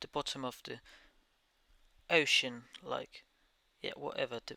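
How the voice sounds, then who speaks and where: A man speaks with a Danish accent at a fairly slow pace, leaving long, frequent pauses. His loudness swings widely, and the sound is dry and close with no echo. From Denmark. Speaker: gaming YouTuber. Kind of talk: gameplay commentary over time lapse. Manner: halting.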